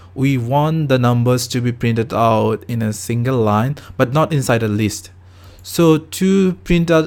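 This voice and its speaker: A man's medium-pitched voice with a non-native accent, ordinary pitch variation and a fairly slow pace. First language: not English. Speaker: programming tutor. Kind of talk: tutorial. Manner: halting.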